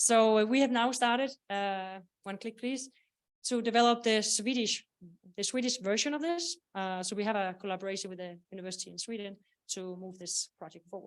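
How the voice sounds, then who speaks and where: A woman's fairly high voice at a fairly quick pace, with big swings in loudness, ordinary pitch variation, and a very clean recording over a silent background. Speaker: software product owner presenting at conference. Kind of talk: conference presentation. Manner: hesitant with many fillers.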